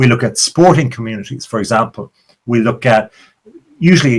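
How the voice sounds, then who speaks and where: At medium pitch and with ordinary pitch variation, a man speaks with an Irish accent. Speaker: podcast host. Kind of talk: podcast monologue intro. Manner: animated.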